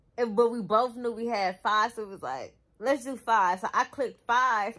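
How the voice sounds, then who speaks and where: With a bright, sharp tone, a woman speaks at a moderate pace and ordinary pitch variation against a quiet background. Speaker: vlogger. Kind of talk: casual vlog chat. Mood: amused, laughing storytelling. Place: home room. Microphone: phone near.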